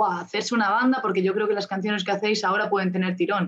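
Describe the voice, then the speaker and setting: A woman at a medium pitch uses fairly even intonation in an unremarkable speaking voice. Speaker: musician and community manager. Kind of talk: interview.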